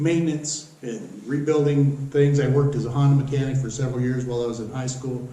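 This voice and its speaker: Amid noticeable background noise and audible room echo, a man with a fairly high voice speaks in a monotone, flat way. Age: 60s. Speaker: local board candidate, retired utility manager. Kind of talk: self-introduction campaign statement. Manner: hesitant, many fillers.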